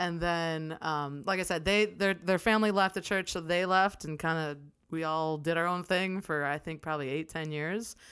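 A woman with an ordinary speaking voice and fairly low pitch talks at a moderate pace with fairly even intonation and hardly any pauses, on a very clean recording with a silent background. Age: 30s. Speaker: church member, civil engineering drafter. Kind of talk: casual chat.

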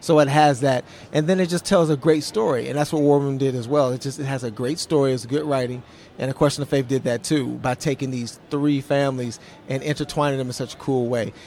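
A man talks in a normal speaking voice with a fairly high pitch. His intonation is fairly even and his pace fairly quick. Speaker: actor. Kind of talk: interview. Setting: convention interview.

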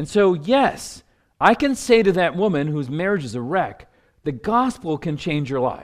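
A man speaks in a high pitch with very wide swings, recorded very cleanly against a silent background. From US, New Jersey. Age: 50s. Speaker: pastor and counselor. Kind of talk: teaching seminar.

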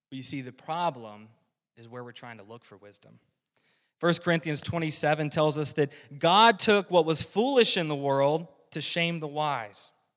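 In a very clean recording with a silent background, a man with an American accent talks at a moderate pace in a fairly high pitch, his intonation lively and his loudness swinging widely. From US South, rural North Carolina. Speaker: lay preacher, weatherman by trade. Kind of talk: sermon. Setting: church.

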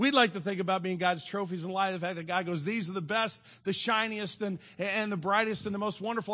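A man speaks with a high pitch and fairly even intonation. The background is quiet. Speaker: pastor. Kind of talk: sermon. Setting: church.

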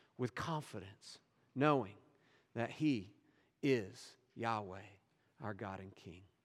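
Audible room echo surrounds a voice with lively intonation. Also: man. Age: 50s. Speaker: pastor. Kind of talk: sermon.

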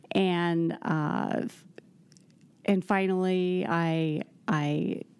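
On a very clean recording with a silent background, a woman speaks with a fairly low pitch, a dark, mellow tone and fairly even intonation. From South Central Pennsylvania. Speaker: mother and podcast guest. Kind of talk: personal testimony interview.

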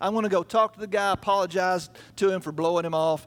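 Speaking very fast, a man has a Southern US accent. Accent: US South. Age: 50s. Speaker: guest preacher for a children's charity. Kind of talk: sermon. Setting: church.

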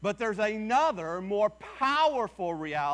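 Reading in an unforced voice

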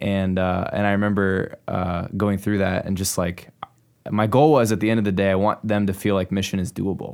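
A man with a Midwestern American accent, fairly low in pitch, at a moderate pace. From US Midwest (Clinton, Iowa). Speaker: pastor and church planter. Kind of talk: casual interview conversation.

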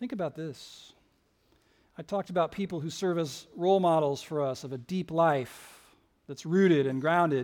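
On a very clean recording with a silent background, a man with a fairly high pitch uses an ordinary speaking voice, talking at a moderate pace with ordinary pitch variation. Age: 50s. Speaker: lead pastor. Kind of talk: sermon. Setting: church.

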